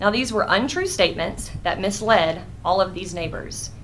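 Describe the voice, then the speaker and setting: Lively intonation marks a woman's voice with an American accent. Her pitch is medium, and there is audible room echo. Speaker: neighborhood association representative speaking at public meeting. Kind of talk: public comment at county board meeting. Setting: county board meeting room. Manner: fast.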